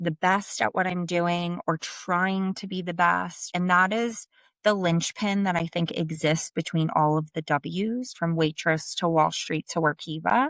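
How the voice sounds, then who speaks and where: Speaking at a fairly slow pace and fairly low pitch with ordinary pitch variation, a woman with a strong New Jersey accent is heard in a very clean recording with a silent background and a dry, close sound with no echo. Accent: thick New Jersey. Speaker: sales leader. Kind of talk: interview conversation.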